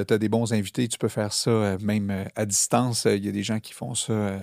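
A man with a Quebec accent, fairly low-pitched, with a dark, mellow tone, fairly even intonation and a fairly slow pace, in a very clean recording with a silent background. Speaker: podcast host. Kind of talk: casual interview chat. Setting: studio.

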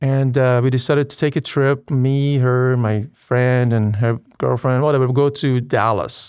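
A man's monotone, flat delivery at very even loudness, in a very clean recording with a silent background. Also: medium pitch for a man. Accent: slight Persian. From Iran. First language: Persian. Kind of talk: conversion testimony interview. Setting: church parish.

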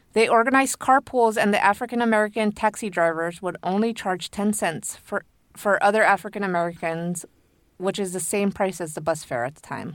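A woman speaks at a fairly quick pace in an unremarkable speaking voice, her medium pitch showing ordinary variation, on a very clean recording with a silent background. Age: 30s. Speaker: podcast co-host and editor. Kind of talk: storytelling from notes. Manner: laughs often.

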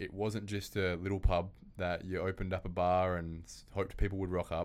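Monotone, flat intonation and a fairly quick pace mark this speaker with an Australian accent, heard on a very clean recording with a silent background. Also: man. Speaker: property podcast host. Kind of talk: interview. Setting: studio.

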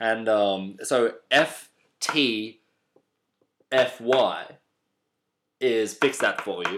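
This man's delivery is very slow. Long pauses come often between his words. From Australia. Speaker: comedy podcast co-host. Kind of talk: casual chat.

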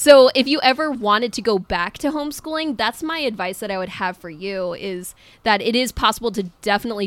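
A woman with a normal speaking voice, lively intonation and a fairly quick pace. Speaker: podcast co-host, homeschool parent. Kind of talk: casual interview chat.

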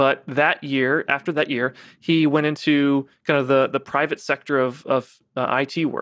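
A man with a fairly high pitch speaks at a moderate pace with hardly any pauses, in a monotone, flat intonation. His loudness is very even, and the sound is dry and close with no echo against a quiet background. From US South, Savannah, Georgia. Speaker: company founder and CEO. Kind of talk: interview conversation. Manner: halting, many fillers and restarts.

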